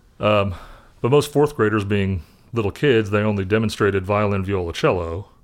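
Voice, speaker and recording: On a very clean recording with a silent background, a man speaks in a plain, everyday voice. His pitch is fairly low, with ordinary variation, and his pace is moderate. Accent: American. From Indianapolis, US Midwest. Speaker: session bass player. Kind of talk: casual chat.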